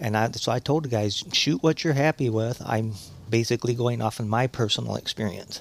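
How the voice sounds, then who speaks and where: Recorded with a dry, close sound and no echo, a man speaks fairly quickly in a plain, everyday voice. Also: medium pitch for a man, ordinary pitch variation. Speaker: hunter. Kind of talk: casual chat.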